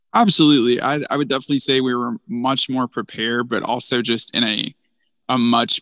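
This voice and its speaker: The tone is bright and sharp, with a fairly even intonation and an Alabama accent. The pace is fairly quick, and the sound is dry and close with no echo. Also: man. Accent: Southern US (Alabama). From North Alabama, US South. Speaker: small business program manager. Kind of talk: casual interview.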